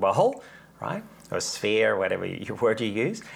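Very wide pitch swings from a man, on a very clean recording with a silent background. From Netherlands. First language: Dutch. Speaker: Reiki teacher and author. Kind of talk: casual interview about spirituality; guided meditation.

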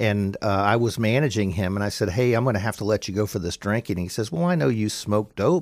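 A man with an unremarkable speaking voice and an American accent talks in a fairly low pitch. His pace is fairly quick. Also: very clean recording, silent background. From Florida, Pinellas County. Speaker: business owner, plumbing company. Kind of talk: interview testimony. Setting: radio studio.

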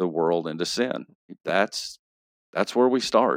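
A man with a Texas accent and a very deep, low pitch, in a dry, close sound with no echo. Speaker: pastor and novelist. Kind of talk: casual interview podcast. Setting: studio.

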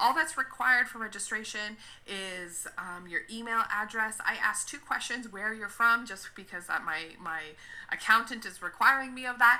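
With a Canadian accent, this voice moves at a moderate pace with ordinary pitch variation and big swings in loudness, over noticeable background noise. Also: woman, fairly high pitch for a woman. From Canada. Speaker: social worker and ministry consultant. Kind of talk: interview.

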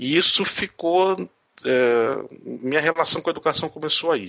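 An unremarkable speaking voice from a man, fairly high in pitch, with lively intonation. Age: 40s. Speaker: educator. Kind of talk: interview.

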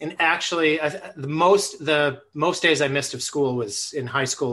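A man with an American accent speaks in an ordinary speaking voice. His pitch is fairly high, with ordinary variation and a moderate pace. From Buffalo, New York. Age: 50s. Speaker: early childhood educator and author. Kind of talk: casual interview conversation. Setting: video call.

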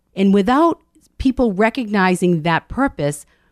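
A woman's normal speaking voice with an American accent and lively intonation, at a moderate pace, in a dry, close sound with no echo. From Medford, Massachusetts. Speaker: intuitive coach and author. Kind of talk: casual interview.

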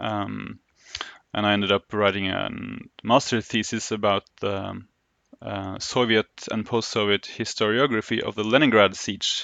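Speaking with a Norwegian accent, a man talks at a moderate pace with a fairly low pitch and fairly even intonation. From Oslo, Norway. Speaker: historian. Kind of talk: interview. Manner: halting, many fillers.

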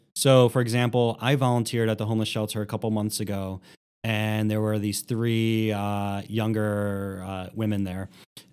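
On a very clean recording with a silent background, a man talks in a fairly low pitch with monotone, flat intonation. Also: moderate pace. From Philadelphia, US. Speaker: nonprofit executive director. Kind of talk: interview conversation.

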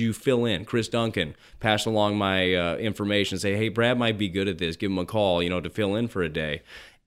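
A man with an American accent talks at a fairly quick pace in a normal speaking voice. His pitch sits fairly low and his intonation stays fairly even. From US West, Las Vegas. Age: 30s. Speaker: former baseball pitcher, sports radio host. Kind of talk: casual interview.

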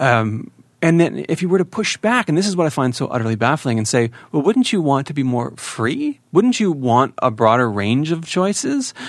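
A man with a normal speaking voice talks fairly quickly with lively intonation on a very clean recording with a silent background. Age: 30s. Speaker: podcast host. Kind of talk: interview.

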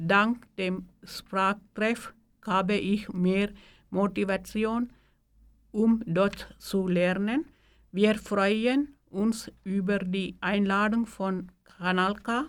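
Speaking at a very slow pace, a woman keeps a medium pitch and fairly even intonation. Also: very clean recording, silent background. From Sri Lanka. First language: Tamil (speaking German). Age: 40s. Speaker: bakery worker, language learner. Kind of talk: reading aloud.

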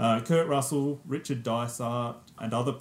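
Here is a man with a medium pitch. His intonation is fairly even. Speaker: podcast co-host. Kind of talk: casual film podcast discussion. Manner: hesitant, many fillers.

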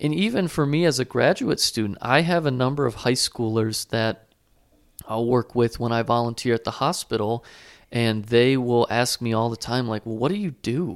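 In an unremarkable speaking voice of medium pitch, a man talks at a moderate pace with ordinary pitch variation, the sound dry and close with no echo on a very clean recording with a silent background. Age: 20s. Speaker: graduate student, podcast producer and co-host. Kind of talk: casual chat.

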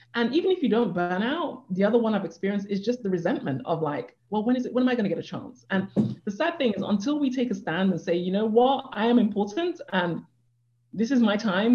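Someone with a British accent talks at a fairly quick pace in a somewhat breathy voice. The intonation is lively. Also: woman. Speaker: life coach. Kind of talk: interview.

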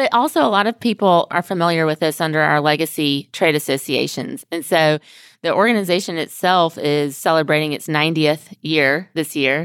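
A woman with an American accent and a very deep, low pitch speaks at a moderate pace with ordinary pitch variation, in dry, close sound with no echo. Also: very clean recording, silent background. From US South, Mobile, Alabama. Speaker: trade association executive. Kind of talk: interview. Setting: conference room in an office.

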